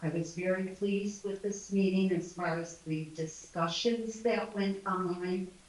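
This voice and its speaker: Against noticeable background noise, a woman speaks at a fairly slow pace with hardly any pauses, her medium-pitched voice fairly even in intonation. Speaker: homeowner in audience. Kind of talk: public comment at meeting.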